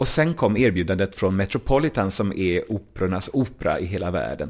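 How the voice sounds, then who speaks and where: Recorded very cleanly over a silent background, a man with a fairly low pitch speaks at a fairly quick pace with lively intonation. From Småland, Sweden. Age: 40s. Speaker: cabaret singer and author. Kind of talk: interview. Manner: clear diction.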